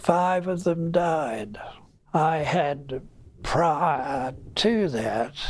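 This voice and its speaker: Talking at a very slow pace, a man uses ordinary pitch variation. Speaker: war veteran. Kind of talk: interview answer. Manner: slow, hesitant.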